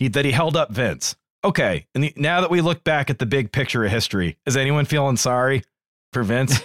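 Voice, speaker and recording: The voice moves at a fairly quick pace with lively intonation and vocal fry. The recording is very clean, with a silent background and a dry, close sound with no echo. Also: man. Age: 30s. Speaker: podcast co-host. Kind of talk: casual chat.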